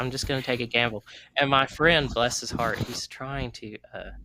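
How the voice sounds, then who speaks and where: A bright, sharp tone in a Southern US accent, with fairly even intonation and big swings in loudness. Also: man. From US South. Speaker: podcast host. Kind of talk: casual chat.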